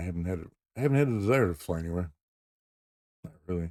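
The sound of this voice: A soft-spoken man with a dark, mellow tone and low pitch, at a fairly quick pace, in a dry, close sound with no echo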